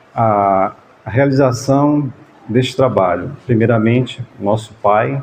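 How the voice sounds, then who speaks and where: A soft-spoken man with a medium pitch talks. His pace is very slow. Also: ordinary pitch variation. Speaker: spiritist group leader. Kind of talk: talk to a gathering. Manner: halting.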